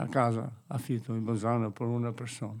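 With an Albanian accent, a man talks at a medium pitch in a monotone, flat intonation. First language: Albanian (speaking Italian). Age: 60s. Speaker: gardener staying at a shelter. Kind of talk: radio interview.

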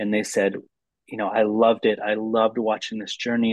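A man with an American accent talks at a fairly low pitch. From US Midwest, Lansing, Michigan. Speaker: documentary film director. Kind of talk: interview conversation.

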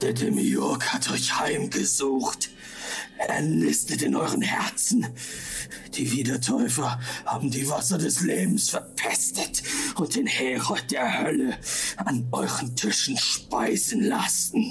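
A man's guttural, put-on character voice at a fairly slow pace, with clear background noise. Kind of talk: archaic, religious German. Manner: ranting, shouting like a fanatic.

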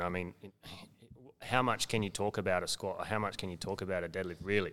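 A man with an Australian accent speaks in a very deep, low pitch at a fairly quick pace. The recording is very clean, with a silent background. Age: 30s. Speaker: athletic development coach. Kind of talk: casual chat.

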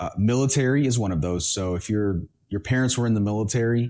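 In a very clean recording with a silent background, a man with an American accent speaks in a dark, mellow tone with ordinary pitch variation. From Honduras, raised partly in the US. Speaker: podcast host. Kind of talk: solo monologue podcast.

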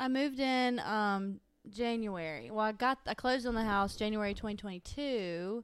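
Her pitch fairly high, a woman speaks with a Southern US accent. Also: ordinary pitch variation, moderate pace. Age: 20s. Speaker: accountant. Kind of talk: casual chat. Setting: at home.

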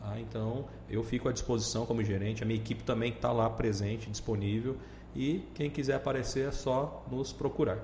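A man talks at a fairly quick pace with audible room echo. Noticeable background noise runs behind him. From Brazil, Cuiabá (Mato Grosso). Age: 30s. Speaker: regional manager of a small-business support agency. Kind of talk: podcast interview.

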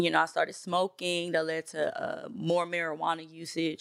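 A woman with an American accent speaks in a fairly low pitch at a moderate pace with monotone, flat intonation. The recording is very clean, with a silent background. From New York City (Bronx), later Tennessee. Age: 30s. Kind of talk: testimony.

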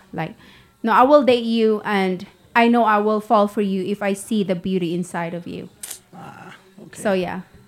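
Music plays behind a woman whose medium-pitched voice has ordinary pitch variation and big swings in loudness. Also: moderate pace. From Philippines, Mindanao. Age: 40s. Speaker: businesswoman. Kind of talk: casual chat.

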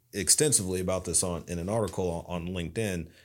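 In an East Tennessee accent, a man with a very deep, low pitch talks at a fairly quick pace on a very clean recording with a silent background. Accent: Southern US (East Tennessee). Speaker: business owner. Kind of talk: interview.

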